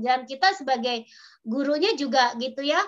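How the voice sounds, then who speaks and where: At a moderate pace, a woman projects a raised, bright, sharp voice with a high pitch and lively intonation. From Sundanese, West Java. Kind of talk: casual, explanatory, teacher speaking.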